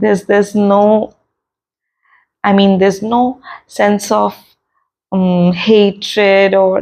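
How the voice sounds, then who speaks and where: A woman with an Indian accent speaks at a fairly slow pace with long, frequent pauses. Her dark, mellow tone sits at a medium pitch with ordinary pitch variation. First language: Hindi. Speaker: meditation and self-help channel host. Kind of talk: casual podcast talk in Hindi-English mix.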